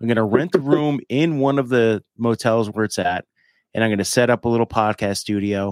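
In a very clean recording with a silent background and a dry, close sound with no echo, a man with a plain, everyday voice speaks at a fairly quick pace, medium in pitch with ordinary pitch variation. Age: 40s. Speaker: podcast host. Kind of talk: casual chat.

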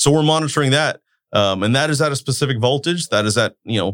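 A man speaks with a Californian accent at medium pitch. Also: very clean recording, silent background. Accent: Californian American. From Turlock, California (US). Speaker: utility control center manager. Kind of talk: interview.

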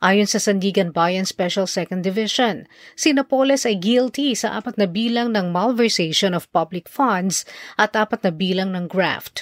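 A woman with an unremarkable speaking voice talks slowly-ish at medium pitch, with ordinary pitch variation, in a very clean recording with a silent background. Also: dry, close sound with no echo. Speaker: news anchor. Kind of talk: news reading. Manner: formal; steady, measured pace.

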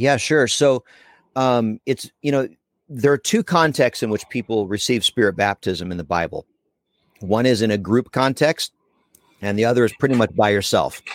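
In a very clean, silent-background recording that sounds dry and close with no echo, a man with an American accent and a plain, everyday voice talks at a moderate pace and medium pitch, with ordinary pitch variation. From Pennsylvania, US. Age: 40s. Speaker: evangelist. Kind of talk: casual chat.

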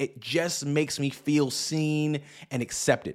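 An animated man with an American accent on a very clean recording with a silent background. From US Northeast, New York City. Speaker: pastor and podcast host. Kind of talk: podcast monologue, sermon-like teaching.

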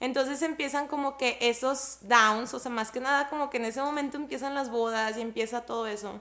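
A woman projects a raised, bright, sharp voice at a high pitch and a fairly quick pace. Her intonation stays fairly even, and she hardly pauses. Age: 30s. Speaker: entrepreneur. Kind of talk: casual chat.

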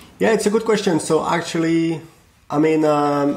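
Ordinary pitch variation in a French accent. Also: man. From France. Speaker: software company founder. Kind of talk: interview. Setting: call.

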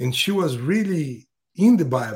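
A man speaks at a fairly slow pace in a non-native accent. His dark, mellow tone carries very wide pitch swings. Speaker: custom fishing lure maker. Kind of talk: podcast interview. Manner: halting.

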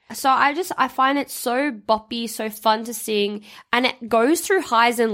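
Recorded very cleanly against a silent background, a woman talks in a normal speaking voice at a fairly high pitch. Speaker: podcast host and life coach. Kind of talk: casual chat.

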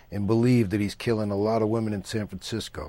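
In an ordinary speaking voice, a man talks at a fairly quick pace. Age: 50s. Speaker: actor. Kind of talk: interview.

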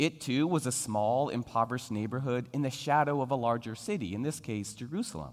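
An ordinary speaking voice from a man, fairly quick with hardly any pauses and lively intonation. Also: medium pitch for a man. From Philadelphia. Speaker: guest preacher. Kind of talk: sermon.

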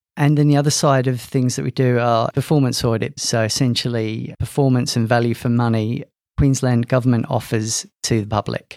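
A man with a London accent, medium pitch and fairly even intonation, on a very clean recording with a silent background. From England, London. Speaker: IT executive. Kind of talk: interview.

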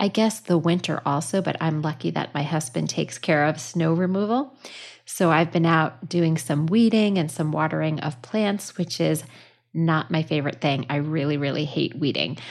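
Over a quiet background, a woman with a very deep, low pitch and vocal fry speaks at a moderate pace. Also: ordinary pitch variation. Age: 50s. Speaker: podcast host and counselor. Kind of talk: personal storytelling monologue. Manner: lighthearted, casual.

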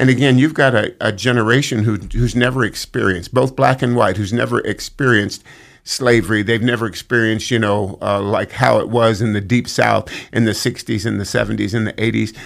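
With an American accent and vocal fry, the speaker talks at a fairly quick pace with fairly even intonation on a very clean recording against a silent background. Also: man, medium pitch for a man. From Northern California, Sacramento area. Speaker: football team chaplain. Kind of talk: casual chat.

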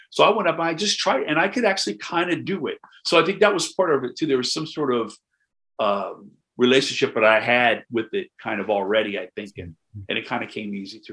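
Against a quiet background, a man with an American accent talks at a very fast pace in a fairly high pitch, his bright, sharp tone marked by vocal fry and very wide pitch swings. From US Midwest, Knox County, Illinois. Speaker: jazz drummer. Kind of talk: casual chat.

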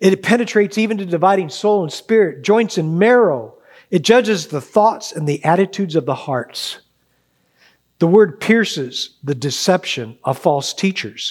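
On a very clean recording with a silent background, a man speaks at a moderate pace in a high voice. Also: lively intonation. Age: 60s. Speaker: church elder. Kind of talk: sermon.

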